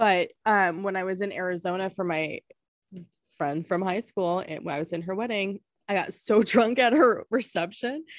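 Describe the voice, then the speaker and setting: A woman's ordinary speaking voice, an ordinary speaking voice at medium pitch, with ordinary pitch variation at a moderate pace. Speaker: podcast host. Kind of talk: casual chat.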